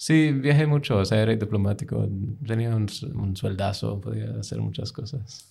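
The voice has a dark, mellow tone, somewhat breathy, with ordinary pitch variation. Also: man, fairly low pitch for a man, moderate pace. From United States, with childhood in UK. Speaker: graduate student, former diplomat. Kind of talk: casual interview. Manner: halting.

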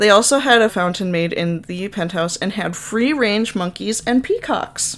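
A woman with a Minnesotan accent talks at a moderate pace with medium pitch. Her pitch varies in an ordinary way, with hardly any pauses. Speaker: podcast host. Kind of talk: casual storytelling.

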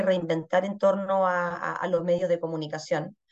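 A woman with an ordinary speaking voice talks at a fairly low pitch. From Chile. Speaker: pastry chef and culinary educator. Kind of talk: casual interview.

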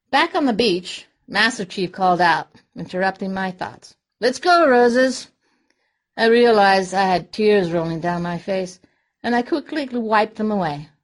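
Against a quiet background, a woman speaks at a medium pitch and a moderate pace with lively intonation. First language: Spanish. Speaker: researcher and office manager, Navy veteran. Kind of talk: personal storytelling monologue. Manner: calm.

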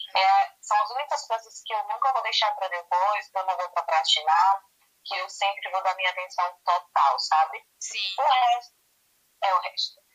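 A woman talks at a medium pitch, with music playing behind her. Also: ordinary pitch variation, moderate pace. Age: 30s. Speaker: entrepreneur. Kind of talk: casual interview.

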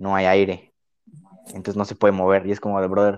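A man is speaking. He has a Mexican accent. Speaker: podcast co-host. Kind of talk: casual chat. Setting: same room as co-host.

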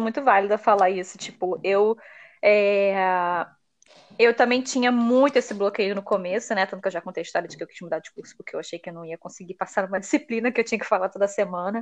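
Her loudness swinging widely, a woman with a fairly high pitch speaks at a very fast pace with ordinary pitch variation over a quiet background. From Brazil. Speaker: podcast host, immigrant college student. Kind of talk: casual chat.

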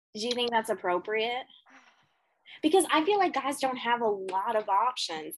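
Her pitch fairly high and swinging very widely, a woman speaks at a moderate pace with long, frequent pauses. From Canada. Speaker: podcast co-host. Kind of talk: casual chat. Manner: halting.

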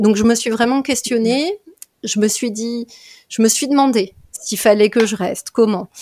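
A woman with a fairly high pitch talks at a fairly slow pace with fairly even intonation, in a dry, close sound with no echo. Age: 30s. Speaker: general practitioner and dance therapist. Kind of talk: interview. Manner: hesitant, many fillers.

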